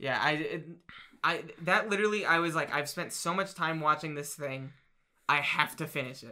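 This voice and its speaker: Speaking with an American accent at a moderate pace, a man with a fairly high pitch and a bright, sharp tone shows ordinary pitch variation. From New Jersey, Trenton. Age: 20s. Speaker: podcast co-host. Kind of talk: casual chat.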